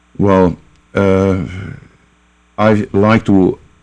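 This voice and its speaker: A man's very deep, low pitch with a dark, mellow tone. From Hungary. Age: 60s. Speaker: concert pianist and music teacher. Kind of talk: radio interview. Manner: halting, many fillers.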